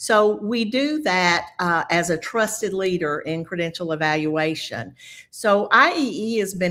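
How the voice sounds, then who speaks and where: With a Southern US accent, a woman of medium pitch speaks with lively intonation. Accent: quite a Southern US. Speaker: nurse, credential evaluation specialist. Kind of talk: webinar presentation. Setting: video call webinar.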